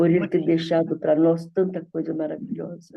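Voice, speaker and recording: A woman speaks in a fairly low pitch. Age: 70s. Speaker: church member in a study group. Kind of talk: group Bible study discussion.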